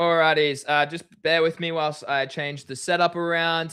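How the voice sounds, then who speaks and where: Speaking at a moderate pace with an Australian accent, a man uses a fairly high pitch and a bright, sharp tone on a very clean recording with a silent background. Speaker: crypto livestream host. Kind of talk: livestream chat. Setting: livestream.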